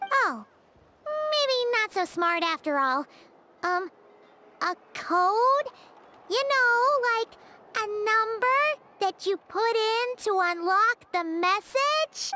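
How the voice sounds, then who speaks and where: A put-on character voice at an extremely high pitch, very slow, broken by long, frequent pauses. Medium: video game. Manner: excitable, high-energy.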